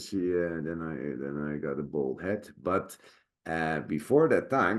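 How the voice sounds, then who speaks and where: A man's very deep, low voice at a fairly slow pace, ordinary pitch variation and a quiet background. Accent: Dutch. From Netherlands. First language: Dutch. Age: 50s. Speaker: actor and sword master. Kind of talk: casual chat. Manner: halting, many fillers.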